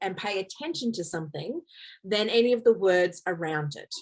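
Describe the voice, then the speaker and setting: Speaking in a plain, everyday voice, a woman keeps a medium pitch, ordinary pitch variation and a moderate pace. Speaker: photographer giving a workshop. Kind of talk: online workshop presentation.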